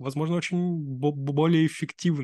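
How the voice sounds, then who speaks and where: A man is speaking. The background is quiet. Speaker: podcast host. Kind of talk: casual interview. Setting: video call.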